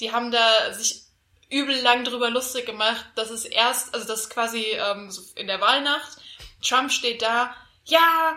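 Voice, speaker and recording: The loudness swings a lot throughout. The pace is very slow. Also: woman. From Hesse, Germany. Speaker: podcast co-host. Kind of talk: casual chat.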